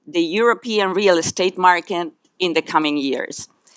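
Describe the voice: At a fairly slow pace, a woman speaks. Her tone is fairly bright.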